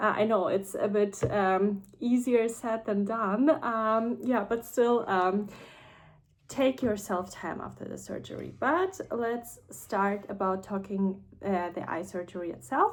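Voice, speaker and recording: A woman with a non-native accent, at a medium pitch, speaking at a very slow pace. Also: ordinary pitch variation. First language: not English. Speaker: vlogger sharing personal experience. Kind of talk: casual personal vlog. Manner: hesitant, many fillers.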